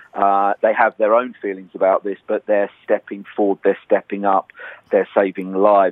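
A man with a British accent, fairly low pitch, moderate pace and monotone, flat intonation. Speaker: nurse leader, international health organisation head. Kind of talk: news interview.

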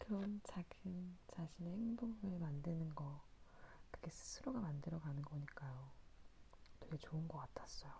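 With a somewhat breathy, fairly low voice, a woman speaks at a fairly slow pace with lively intonation. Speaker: podcast host. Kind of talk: late-night talk monologue. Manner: halting, stumbling over words.

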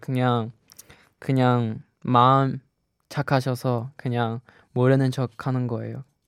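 The recording is very clean and silent behind the voice, with a dry, close sound and no echo. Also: man. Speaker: radio host. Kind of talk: radio show, casual chat.

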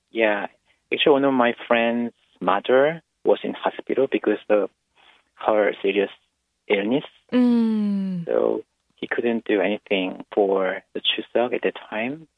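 A man with a Korean accent, at a fairly slow pace, with long, frequent pauses. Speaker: English teacher. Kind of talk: radio call-in chat. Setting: phone call.

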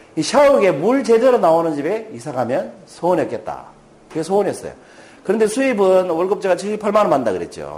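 Noticeable background noise surrounds a man talking at a fairly quick pace. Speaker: motivational speaker, former businessman. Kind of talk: lecture. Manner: conversational, asks rhetorical questions.

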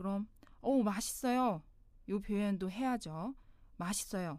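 A woman with a Mandarin Chinese accent, at a fairly slow pace with ordinary pitch variation. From China. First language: Mandarin Chinese (speaking Korean). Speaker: language teacher. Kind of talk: tutorial.

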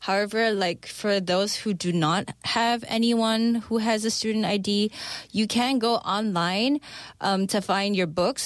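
This woman has an ordinary speaking voice at medium pitch. Her pitch variation is ordinary and her pace fairly slow. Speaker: expat life consultant. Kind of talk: radio segment chat. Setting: studio.

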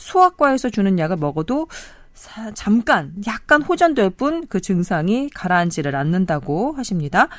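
In a very clean recording with a silent background, a woman talks at a fairly slow pace. Her medium pitch swings very widely. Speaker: radio announcer host. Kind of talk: reading listener letter. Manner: formal.

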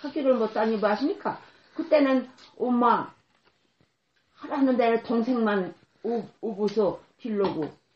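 Pausing long and often, a woman with a fairly high voice talks at a very slow pace with lively intonation. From South Korea, Socheong Island (Yellow Sea). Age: 80s+. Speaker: elderly islander interviewee. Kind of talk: oral history interview. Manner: halting.

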